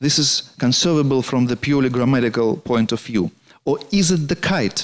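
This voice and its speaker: A man speaks with a Russian accent and a fairly high pitch, with ordinary pitch variation. It is a very clean recording with a silent background. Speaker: poet and translator lecturing. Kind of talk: lecture. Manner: halting.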